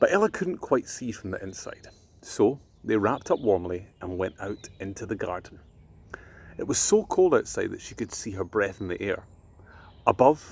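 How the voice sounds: Speaking at a fairly slow pace with lively intonation, a man shows vocal fry, a slightly husky edge and a slightly mellow tone.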